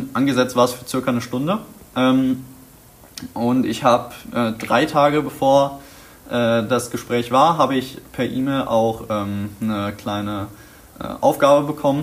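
Speaking very slowly, a man uses a medium pitch. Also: ordinary pitch variation. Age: young. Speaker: vocational school student. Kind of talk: interview. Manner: halting, many filler sounds.

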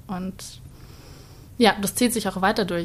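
At a moderate pace, a woman's medium-pitched voice comes across as somewhat breathy. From Bavaria, Starnberg. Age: 20s. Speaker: dance student. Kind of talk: casual interview chat.

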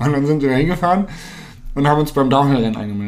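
A man is speaking. His voice is fairly high. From northern Germany, Hannover. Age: 20s. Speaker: mountain bike pro and content creator. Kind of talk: casual interview.

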